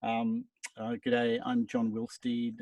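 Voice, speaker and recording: In a dry, close recording with no echo and a quiet background, a man speaks with a dark, mellow tone. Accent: Australian. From Brisbane, Australia. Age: 60s. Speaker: musician. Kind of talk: casual chat. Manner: halting.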